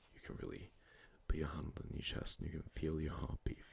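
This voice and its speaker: A man whispering. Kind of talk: ASMR close-mic sleep talk.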